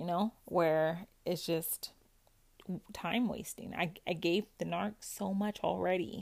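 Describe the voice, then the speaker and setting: Talking at a very slow pace, a woman with a fairly low pitch and ordinary pitch variation uses vocal fry. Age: 30s. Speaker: podcast host sharing recovery from narcissistic abuse. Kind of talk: personal monologue, supportive self-help talk. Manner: casual, conversational with frequent laughs.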